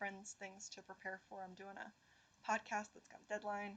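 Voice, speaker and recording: A woman's medium-pitched voice at a moderate pace. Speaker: poetry livestream host. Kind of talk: live stream chat with poetry reading. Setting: livestream. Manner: hesitant, many fillers and repeats.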